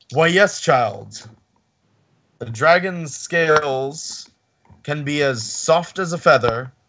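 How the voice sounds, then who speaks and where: A man's booming, put-on character voice, with a fairly high pitch at a very slow pace. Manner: bellowing, warmly amused.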